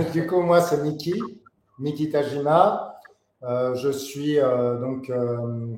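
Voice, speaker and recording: A man with a fairly high pitch talks at a very slow pace, keeping his intonation fairly even. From Paris, France. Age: 40s. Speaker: board game designer and graphic artist. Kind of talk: interview. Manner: hesitant, many fillers.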